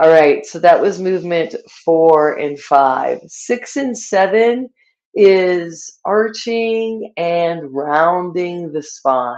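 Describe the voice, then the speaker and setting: Calm in tone, a woman speaks at a fairly low pitch with ordinary pitch variation. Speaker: yoga instructor. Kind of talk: guided yoga class. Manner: calm instructional.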